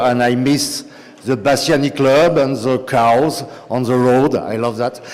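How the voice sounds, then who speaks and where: Amid noticeable background noise and audible room echo, a man speaks at a fairly slow pace with a strong French accent. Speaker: city nightlife policy official. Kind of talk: conference talk. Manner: halting, many fillers.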